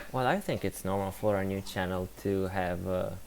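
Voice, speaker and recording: With an Italian accent, a man speaks at a fairly low pitch and a moderate pace. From Italy. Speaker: science communicator streamer. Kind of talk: live stream commentary. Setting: live stream with background music.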